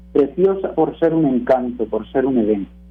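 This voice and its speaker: A man speaks with lively intonation. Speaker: radio commentator, teacher. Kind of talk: prepared radio talk.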